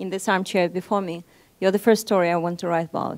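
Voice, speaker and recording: A woman speaks at medium pitch in a Moscow accent with fairly even intonation. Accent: Russian, Moscow. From Russia (Nizhny Novgorod, Saint Petersburg). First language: Russian. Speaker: journalist. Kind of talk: seminar talk. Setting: seminar with audience. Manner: hesitant, many fillers.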